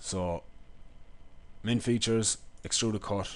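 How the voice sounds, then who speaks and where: With an Irish accent, a man is talking. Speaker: engineering lecturer. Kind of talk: software tutorial.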